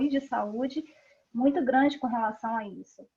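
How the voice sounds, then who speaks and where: A woman talks with a high-pitched voice, her pitch varying in an ordinary way, at a moderate speed. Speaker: parent of a child with PKU, patient advocate. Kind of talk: online panel discussion.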